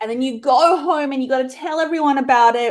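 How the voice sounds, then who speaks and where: Moderate pace from a woman with an Australian accent. Her pitch variation is ordinary. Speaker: romance author and bookstore owner. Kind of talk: podcast interview.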